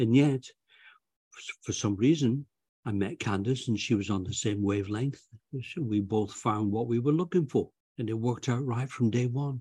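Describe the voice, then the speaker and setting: With long, frequent pauses, a man speaks at a moderate pace in a dark, mellow, somewhat breathy tone, his pitch varying in an ordinary way over a quiet background. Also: medium pitch for a man. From England. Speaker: author and retired volunteer. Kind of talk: interview.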